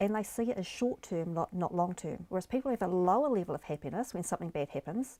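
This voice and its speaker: A woman's very fast, lively delivery in a dark, mellow tone, on a very clean recording with a silent background. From New Zealand. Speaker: life coach. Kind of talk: interview.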